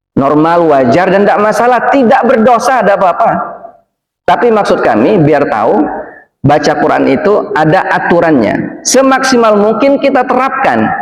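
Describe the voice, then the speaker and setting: A man's high-pitched voice in a Palembang accent, very wide pitch swings, very even loudness and a moderate pace, with audible room echo. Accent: Palembang Indonesian. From Indonesia, Palembang. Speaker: preacher. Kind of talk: sermon. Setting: mosque.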